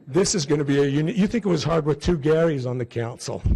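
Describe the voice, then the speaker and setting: Somewhat breathy, a man with an American accent speaks at a medium pitch with ordinary pitch variation and a dark, mellow tone. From Utah. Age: 60s. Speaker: city council member. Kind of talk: inauguration speech.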